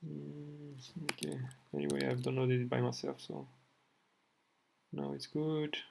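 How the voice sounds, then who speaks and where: In a strong French accent, the speaker keeps a moderate pace. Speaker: programming tutorial youtuber. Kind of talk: screen-recorded coding tutorial. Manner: halting, with fillers.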